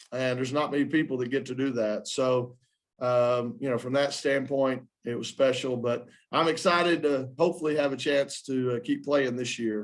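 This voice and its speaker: A man speaks in a Southern US accent, his pitch sitting in the middle of the range. His pace is moderate and his intonation stays fairly even. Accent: Southern twang. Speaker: basketball coach. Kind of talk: press conference. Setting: postgame press conference.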